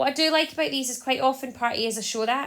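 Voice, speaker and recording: A woman with a Scottish accent speaks with ordinary pitch variation. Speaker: maths teacher. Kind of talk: tutorial. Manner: fast.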